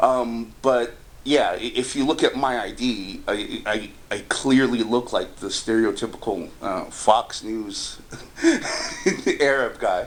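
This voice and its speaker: Over noticeable background noise, a man with an American accent speaks very slowly at a medium pitch with fairly even intonation. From United States. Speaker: housing discrimination complainant. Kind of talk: phone interview.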